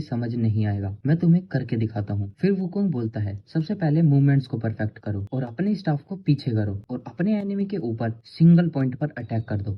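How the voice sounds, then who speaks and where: A somewhat breathy man's voice of medium pitch, with very wide pitch swings. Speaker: Hindi anime explainer narrator. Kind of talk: anime story recap narration.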